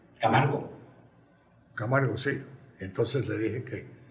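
At a fairly slow pace, a man talks with ordinary pitch variation, and audible room echo fills the space. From Colombia. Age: 80s+. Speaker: former football club president. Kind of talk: interview. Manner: halting.

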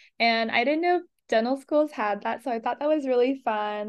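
Moderate pace and ordinary pitch variation, with an American accent. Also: woman. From Los Angeles, California. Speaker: dental student. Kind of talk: casual interview.

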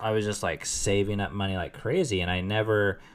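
Using a normal speaking voice, a man talks at a fairly quick pace with a fairly low pitch. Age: 30s. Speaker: podcast host. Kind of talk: casual chat.

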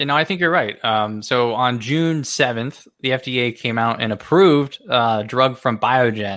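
In a very clean recording with a silent background, a man with an American accent speaks at a fairly slow pace, his tone bright and sharp, his pitch medium, and his pitch variation ordinary. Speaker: investing analyst co-host. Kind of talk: casual chat about investing news.

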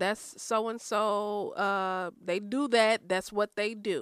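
With an American accent and an ordinary speaking voice, a woman talks at a medium pitch with fairly even intonation on a very clean recording with a silent background. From Chicago south suburbs (Chicago Heights). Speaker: podcast guest. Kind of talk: casual chat.

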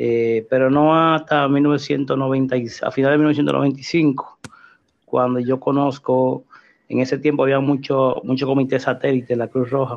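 At a fairly slow pace, a man with a medium pitch talks in a flat monotone, his loudness staying very even throughout. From Dominican Republic, Santo Domingo Norte (raised from age 7). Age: 40s. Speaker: rescue worker. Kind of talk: casual chat.

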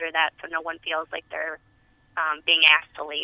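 A woman's fairly low voice in an American accent, fairly quick, with monotone, flat intonation. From Tennessee, US South. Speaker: community health specialist. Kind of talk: radio interview. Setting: radio studio.

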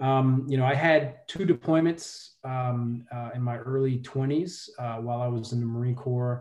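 In an American accent, a man speaks in an ordinary speaking voice at a fairly slow pace, with fairly even intonation. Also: medium pitch for a man. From New York, Brooklyn. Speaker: philanthropy executive and Marine veteran. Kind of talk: interview.

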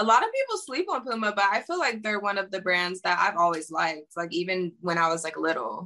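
Speaking at a fairly quick pace with hardly any pauses, a woman with an American accent uses a medium pitch and a bright, sharp tone. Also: ordinary pitch variation. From Pittsburgh, Pennsylvania, US. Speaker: singer and model. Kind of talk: interview. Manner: casual, filler-heavy.

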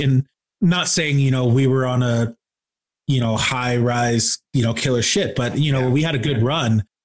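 Speaking with an American accent, a somewhat breathy man at medium pitch keeps a moderate pace and fairly even intonation. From Michigan, Kalamazoo. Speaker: rock band musician and podcaster. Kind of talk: casual interview chat.

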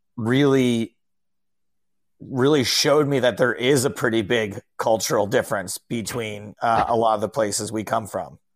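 In a plain, everyday voice with an American accent, the speaker talks at a fairly slow pace with fairly even intonation, in a dry, close sound with no echo. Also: man. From upstate New York (Albany). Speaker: stand-up comedian and poker commentator. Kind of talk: casual chat. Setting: video call.

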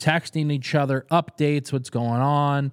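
With an ordinary speaking voice and an American accent, a man talks at a fairly quick pace with fairly even intonation in a dry, close sound with no echo. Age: 30s. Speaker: podcast host, food promoter. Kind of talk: casual interview chat. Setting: studio.

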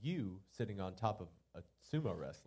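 The man's intonation is lively, and his voice is somewhat breathy. His tone is dark and mellow. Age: 20s. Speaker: podcast host. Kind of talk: casual chat. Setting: live venue with small audience.

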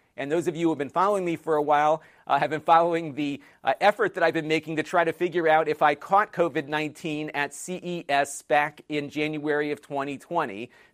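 Recorded dry and close with no echo against a silent, very clean background, the voice moves at a fairly quick pace with ordinary pitch variation, a plain, everyday voice. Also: man. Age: 40s. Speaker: tech video creator. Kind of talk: casual vlog monologue.

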